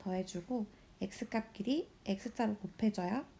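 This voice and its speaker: A somewhat breathy woman's voice at medium pitch, with a dark, mellow tone and ordinary pitch variation. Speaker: high school math teacher. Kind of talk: recorded lesson walkthrough.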